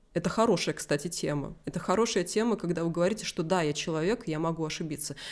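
The voice is animated, at a moderate pace with ordinary pitch variation. The recording is very clean, with a silent background. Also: woman. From Vitebsk, Belarus. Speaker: 3D visualizer and artist. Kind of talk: interview answers, casual chat. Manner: animated, talkative, self-deprecating humor.

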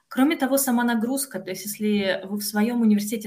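A woman speaks with a somewhat breathy voice. Her pace is fairly quick. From Russia, Kostroma. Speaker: PhD student in philology. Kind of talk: podcast interview. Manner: hesitant, frequent filler sounds.

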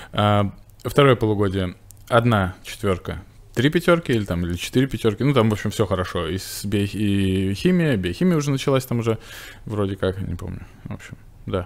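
Here is an ordinary speaking voice with lively intonation. It moves at a fairly quick pace. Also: man, fairly low pitch for a man. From Russia, Novgorod region. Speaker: veterinary cardiologist and surgeon. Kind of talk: casual interview.

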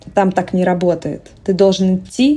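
The woman's voice sits at a fairly low pitch and moves at a moderate pace. Noticeable background noise is present. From Russia. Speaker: entrepreneur. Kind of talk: interview.

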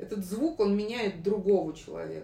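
A woman's voice at medium pitch. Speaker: psychologist. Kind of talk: interview. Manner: halting.

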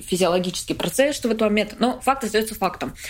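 A woman speaks at a medium pitch. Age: 20s. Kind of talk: interview. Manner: halting.

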